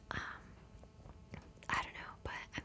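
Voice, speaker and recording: A woman whispers fairly slowly while noticeable noise carries on around her. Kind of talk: ASMR favorites video, casual talk to camera. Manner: whispered, close-mic.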